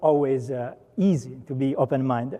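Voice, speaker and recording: A man speaks with an Italian accent. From Italy. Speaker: software program manager. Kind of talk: conference talk. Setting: stage with audience. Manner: many filler words.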